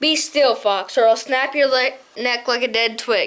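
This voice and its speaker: A woman puts on a character voice, growling at a moderate pace in a high pitch. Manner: menacing.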